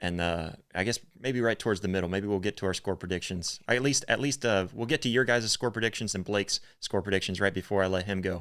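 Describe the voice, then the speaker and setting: A man with a Northern US accent, fairly low in pitch, at a very fast pace with ordinary pitch variation, on a very clean recording with a silent background. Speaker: sports podcast host. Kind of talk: live-streamed sports podcast chat. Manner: halting, many fillers.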